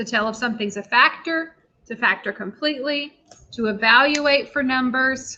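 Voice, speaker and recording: A woman's raised, projected voice sounds high, bright and sharp, moving at a moderate pace with lively intonation. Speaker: math teacher. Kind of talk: lecture.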